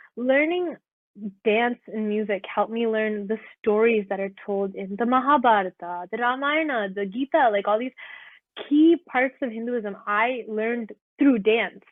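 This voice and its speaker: A woman with a plain, everyday voice speaks at a fairly slow pace, her pitch fairly high with ordinary variation. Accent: Canadian. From Ontario, Canada, of Kerala Indian roots. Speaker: graduate student, classical dancer. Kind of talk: interview answer.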